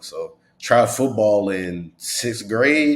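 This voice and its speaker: A man with an American accent speaks in a fairly low pitch with ordinary pitch variation. He has an ordinary speaking voice. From US South (Georgia). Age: 20s. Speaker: motivational speaker. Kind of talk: interview. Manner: casual, filler-heavy.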